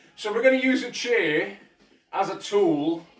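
Music in the background and audible room echo behind a man speaking. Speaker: fitness instructor. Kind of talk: live workout instruction. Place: home room. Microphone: camera far.

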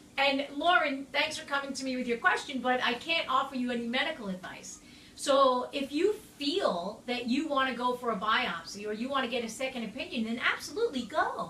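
Raising and projecting her voice, a woman speaks at a fairly quick pace amid light background noise and audible room echo. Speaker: health advice host. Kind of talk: Q&A answer, casual advice. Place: home room. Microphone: phone near.

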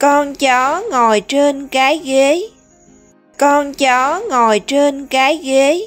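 With music in the background, a woman with a Southern Vietnamese accent speaks very slowly in a high pitch, her loudness very even and her pitch variation ordinary. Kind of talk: children's vocabulary teaching. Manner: slow, clear, repetitive.

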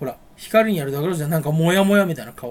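A man speaks with a high voice. His pace is very fast. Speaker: vlogger. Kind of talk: casual chat. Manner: rambling fast monologue. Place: home room. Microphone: built-in camera mic, voice quiet; webcam.

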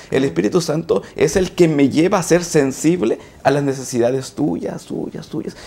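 A man speaks at a fairly slow pace in a fairly high pitch, his dark, mellow tone edged with vocal fry and carried by lively intonation. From Mexico, Coatzacoalcos, Veracruz; Veracruz, Mexico. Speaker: teacher and graduate student; teacher. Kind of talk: panel discussion. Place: studio. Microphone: lapel.

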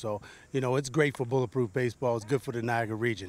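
In an American accent, the voice keeps a fairly even intonation in a dry sound with no echo. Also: man. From US South (West Virginia). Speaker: baseball academy owner, former pro player; baseball academy coach. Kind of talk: interview. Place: open country. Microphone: handheld.

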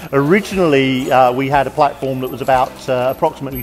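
Light background noise sits under the recording. The speech runs at a fairly quick pace. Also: man. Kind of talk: interview answer. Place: station.

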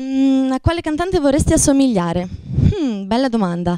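A woman with a dark, mellow tone talks at a moderate pace in a dry sound with no echo and a quiet background. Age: 20s. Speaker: singing contestant. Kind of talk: interview. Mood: playful, relaxed. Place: studio. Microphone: handheld.

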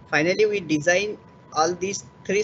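Against light background noise, a man speaks at a moderate pace with ordinary pitch variation. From India. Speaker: project research associate; presenter. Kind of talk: webinar presentation. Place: office. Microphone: webcam.

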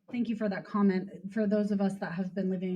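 Noticeable background noise sits behind a woman's voice. Her intonation is monotone and flat. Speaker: county official. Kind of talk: meeting explanation. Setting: community center meeting. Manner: fast.

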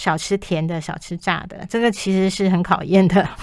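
A woman speaks at a medium pitch and a moderate pace, in a monotone with flat intonation. The background is quiet. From Taiwan. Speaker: health magazine chief writer. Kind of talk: radio interview. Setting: radio studio. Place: studio.

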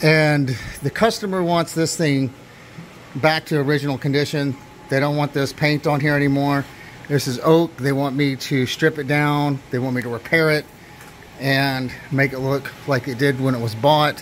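Fairly even intonation from a man at a moderate pace, light background noise. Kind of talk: tutorial. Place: workshop. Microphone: camera far.

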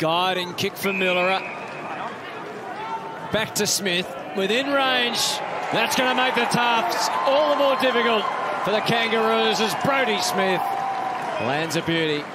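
Over loud background noise, a man talks at a fairly slow pace with long, frequent pauses, the sound dry with no echo. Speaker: sports commentator. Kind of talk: commentary.

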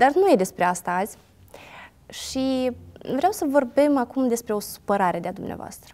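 Pitch swings very widely in a dark, mellow tone. The pace is moderate, broken by long, frequent pauses. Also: woman, high pitch for a woman. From Moldova, Ialoveni; Moldova. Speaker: interviewer. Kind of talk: interview. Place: studio. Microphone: lapel.

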